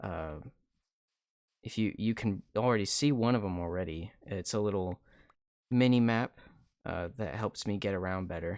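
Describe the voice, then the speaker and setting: A man's fairly low voice is quiet, with a calm tone. His intonation is lively. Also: very clean recording, silent background. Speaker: video game streamer. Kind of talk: casual gameplay commentary. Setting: live stream. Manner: calm, low-energy.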